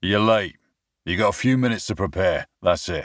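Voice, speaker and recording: In a raspy put-on character voice, a man talks at a moderate pace and a fairly low pitch. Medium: read story. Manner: terse, gruff.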